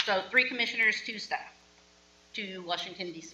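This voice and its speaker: A woman talks at a fairly quick pace with a medium pitch. Audible room echo and noticeable background noise fill the recording. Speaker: board chair. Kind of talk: board meeting. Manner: loud.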